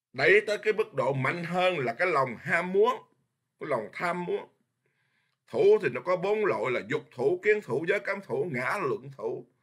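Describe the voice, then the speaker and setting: A man at a fairly slow pace against a quiet background. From Vietnam. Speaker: Buddhist monk teacher. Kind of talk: dharma lecture. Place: home room. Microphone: webcam.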